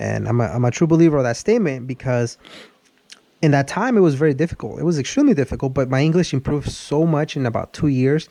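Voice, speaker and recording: With a Spanish accent, a man speaks very fast in a dark, mellow tone, his pitch moving in an ordinary way. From Mexico. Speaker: car channel host. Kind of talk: casual chat. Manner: halting, many repeated words.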